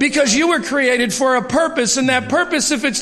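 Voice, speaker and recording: A man speaks at an extremely high pitch and a fairly quick pace, with ordinary pitch variation. Noticeable background noise and audible room echo fill the recording. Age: 50s. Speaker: church member giving testimony. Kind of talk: testimony. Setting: church.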